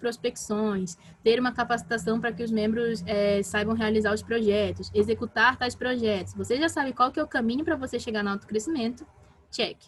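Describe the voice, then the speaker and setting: Somewhat breathy and fairly high-pitched, a woman talks with ordinary pitch variation. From Brazil, Pará. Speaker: talk speaker on team management. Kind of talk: online talk / workshop. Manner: fast; animated.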